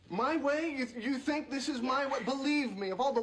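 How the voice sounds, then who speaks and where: A man's speech comes at a moderate pace with ordinary pitch variation, noticeable background noise underneath. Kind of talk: scripted sitcom dialogue. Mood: exasperated, flustered. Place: studio.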